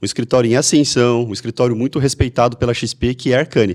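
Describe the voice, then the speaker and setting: In a very clean recording with a silent background, a man of medium pitch speaks at a very fast pace. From Brazil, Mogi Mirim, São Paulo state. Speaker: podcast host. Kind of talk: podcast interview.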